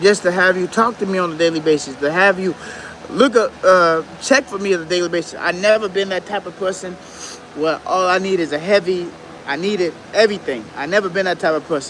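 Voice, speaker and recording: There is noticeable background noise as a man talks at a fairly quick pace. His pitch is high, with ordinary variation. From Detroit, Michigan. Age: 30s. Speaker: YouTuber. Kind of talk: livestream casual talk. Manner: halting.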